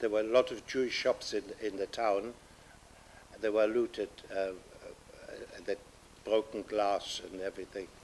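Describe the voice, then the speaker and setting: Pausing long and often, a man with a German accent speaks at a moderate pace. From Germany (Upper Silesia), later England. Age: 80s+. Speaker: Holocaust survivor, Kindertransport refugee. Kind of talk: oral history testimony. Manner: halting, with many fillers.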